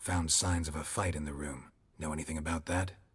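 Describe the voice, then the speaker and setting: Putting on a character voice, a man growls at a very deep, low pitch in a deadpan tone with monotone, flat intonation, moving at a fairly quick pace. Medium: video game. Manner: terse, dry, deadpan.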